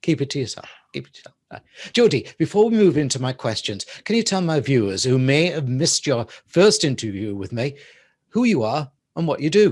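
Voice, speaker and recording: With an English accent, a man talks at a fairly quick pace, his fairly high pitch swinging very widely. His loudness rises and falls sharply against a quiet background. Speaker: talk show host. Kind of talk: interview. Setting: studio.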